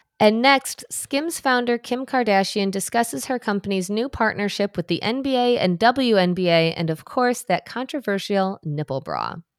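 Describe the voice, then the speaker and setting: A woman with a plain, everyday voice and lively intonation speaks with hardly any pauses on a very clean recording with a silent background. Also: fairly high pitch for a woman, moderate pace. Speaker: magazine editor and podcast host. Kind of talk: scripted narration.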